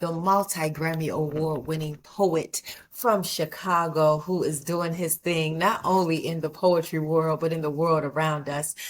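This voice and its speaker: A woman with a fairly low pitch talks at a fairly slow pace in a monotone, flat intonation, with hardly any pauses. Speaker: podcast host. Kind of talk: podcast intro and interview questions.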